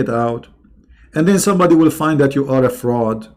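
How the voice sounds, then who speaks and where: A man with a non-native accent, lively intonation and a fairly quick pace. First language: not English. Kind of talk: live stream commentary reacting to a video. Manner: animated.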